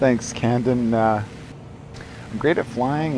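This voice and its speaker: In a Canadian accent, a man with a medium pitch and ordinary pitch variation speaks at a fairly slow pace in a relaxed tone, with audible room echo and noticeable background noise. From Canada. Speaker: game streamer. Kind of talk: live gameplay stream commentary. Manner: speaking quietly; casual, relaxed.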